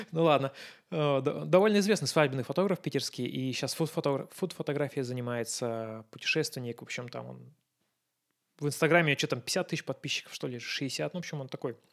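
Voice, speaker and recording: A man with a normal speaking voice talks at a fairly quick pace and fairly high pitch, with ordinary pitch variation. His loudness swings a lot in a very clean recording with a silent background. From Russia. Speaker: photographer. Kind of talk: casual chat.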